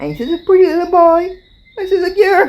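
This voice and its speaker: A woman speaks with a Barbadian accent. Background noise is noticeable. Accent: Barbadian (Bajan). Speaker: interviewee, elder recalling history. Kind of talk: interview testimony.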